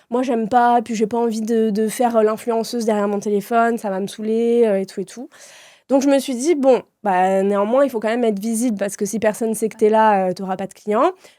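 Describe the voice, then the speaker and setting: This woman's voice is fairly high-pitched, with a dark, mellow tone and fairly even intonation. She talks at a fairly quick pace on a very clean recording with a silent background. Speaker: entrepreneur, customer experience consultant. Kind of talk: casual podcast interview. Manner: direct, casual with swearing.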